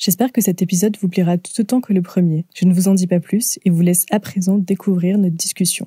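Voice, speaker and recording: A woman talks at a fairly quick pace with hardly any pauses, in a medium pitch with a dark, mellow, somewhat breathy tone. Her intonation is fairly even, her loudness very even, and the sound is dry and close with no echo. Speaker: podcast host. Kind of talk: casual interview. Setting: remote call recording.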